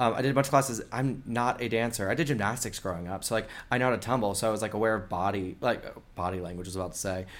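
In an American accent, the speaker goes very fast with ordinary pitch variation. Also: man, medium pitch for a man. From US Florida Panhandle. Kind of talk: casual interview chat. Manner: fast talker.

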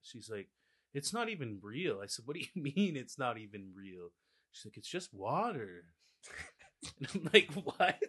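A man's fairly high voice with vocal fry and a bright, sharp tone, very wide pitch swings, big swings in loudness, a moderate pace and long, frequent pauses. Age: 20s. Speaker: factory worker. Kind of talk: casual chat.

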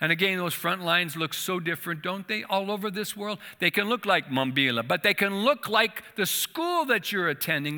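Projecting a raised voice, a high-pitched man talks at a moderate pace with lively intonation. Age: 60s. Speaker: church association leader, former missionary. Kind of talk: sermon. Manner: halting.

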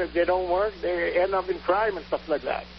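Noticeable background noise is present. A man with a high voice speaks over it at a moderate pace. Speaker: caller. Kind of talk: call-in talk radio.

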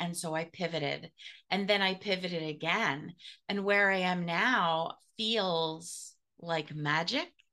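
A woman's plain, everyday voice at a medium pitch, with ordinary pitch variation and a quiet background. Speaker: podcast host and business mentor. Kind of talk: casual interview chat.

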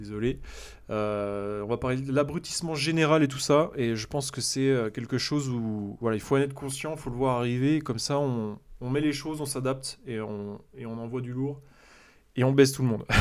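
On a very clean recording with a silent background, a man talks at a moderate pace and medium pitch with ordinary variation. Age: 30s. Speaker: entrepreneur podcaster. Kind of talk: casual solo monologue. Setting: home recording, solo. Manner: animated; hesitant, many fillers.

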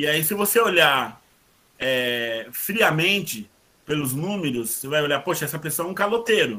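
Bright and sharp in tone, a man's fairly high voice moves at a moderate pace with lively intonation. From São Paulo, east zone (São Miguel Paulista). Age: 40s. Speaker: lawyer. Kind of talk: casual interview. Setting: video call.

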